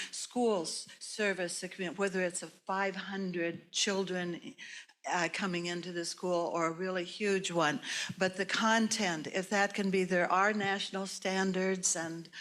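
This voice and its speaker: A woman with an American accent speaks at a medium pitch, her intonation flat and monotone. She talks at a fairly slow pace on a very clean recording with a silent background. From US Midwest, Minnesota. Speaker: retired teacher, audience member. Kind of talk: audience question. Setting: lecture hall, speaking to audience. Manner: loud.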